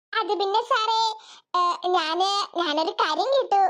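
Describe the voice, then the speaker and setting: This cartoonish character voice sits at an extremely high pitch and moves at a very slow pace. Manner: hesitant, stammering.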